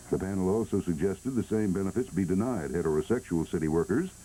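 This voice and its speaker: Delivered at a fairly quick pace in an American accent, the voice has a dark, mellow tone. Its intonation is lively, with vocal fry. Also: man. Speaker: radio and TV announcer. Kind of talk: news headlines read. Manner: comforting.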